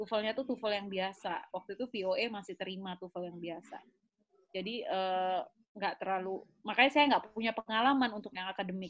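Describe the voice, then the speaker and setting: Medium pitch from a woman, delivered at a fairly quick pace. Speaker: graduate student and youth organization founder. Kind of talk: podcast interview. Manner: animated.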